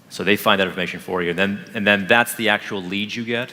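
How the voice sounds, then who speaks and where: With noticeable background noise, a man speaks very fast in a fairly even intonation. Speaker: marketing executive. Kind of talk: live product demo talk with Q&A.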